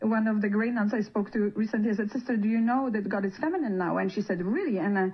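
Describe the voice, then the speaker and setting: A woman speaks with a fairly high pitch and fairly even intonation. Her voice is somewhat breathy. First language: not English. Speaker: palliative care worker. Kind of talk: radio interview. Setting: radio studio. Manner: halting.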